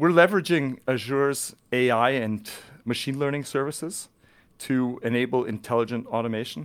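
With an ordinary speaking voice, a man talks at a medium pitch with ordinary pitch variation on a very clean recording with a silent background. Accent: Canadian. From Canada, British Columbia (near Vancouver). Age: 40s. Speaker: tech company channel manager. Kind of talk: podcast interview.

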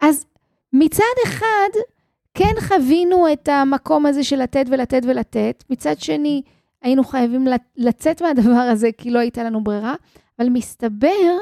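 Dry and close with no echo, a woman's high-pitched voice has a dark, mellow tone and moves at a very slow pace. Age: 50s. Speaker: financial coach and podcast host. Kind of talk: solo podcast monologue.

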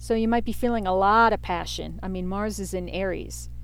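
Audible room echo follows a woman who talks at a fairly quick clip. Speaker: podcast host, tarot and astrology reader. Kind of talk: solo podcast monologue with tarot reading. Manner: rambling, off the cuff with fillers.

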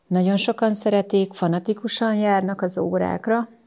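A woman's calm tone at a moderate pace, in a very clean recording with a silent background. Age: 40s. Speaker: yoga instructor and masseuse. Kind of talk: interview.

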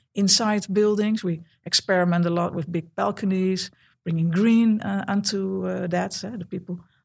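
With a Dutch accent, a woman speaks at medium pitch and a moderate pace, her voice somewhat breathy and her intonation fairly even. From Netherlands. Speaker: architect. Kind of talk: interview. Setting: office. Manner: halting, many fillers.

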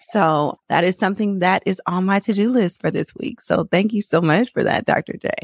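In an animated tone, a woman of medium pitch talks at a moderate pace with hardly any pauses and ordinary pitch variation, in a dry, close sound with no echo. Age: 40s. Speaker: podcast host. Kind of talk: casual chat.

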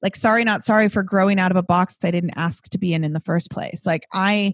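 A woman with a Californian accent sounds animated, her pitch varying in an ordinary way. The sound is dry and close with no echo, very clean, against a silent background. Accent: Californian American. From Southern California, Los Angeles. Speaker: fitness instructor. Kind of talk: casual chat.

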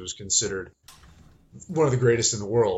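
This is a man with a somewhat breathy voice. His pitch is medium. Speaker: movement and strength coach. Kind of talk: casual chat. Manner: halting.

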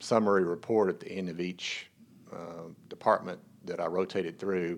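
Over a quiet background, a man speaks with an American accent. His very deep, low voice stays monotone and flat. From Texas. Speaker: hospital chief operating officer and team chaplain. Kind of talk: casual interview.

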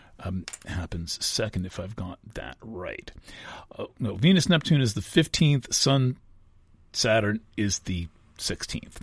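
On a very clean recording with a silent background, a man with a fairly low, somewhat breathy voice speaks at a fairly slow pace, with long, frequent pauses, very wide pitch swings and big swings in loudness. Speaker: astrologer and podcast host. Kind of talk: solo astrology forecast monologue. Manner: halting, many fillers and restarts.

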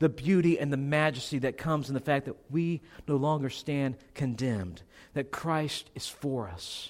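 With a normal speaking voice, a man talks at a moderate pace and fairly high pitch, showing ordinary pitch variation on a very clean recording with a silent background. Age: 30s. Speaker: pastor. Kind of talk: sermon. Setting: church.

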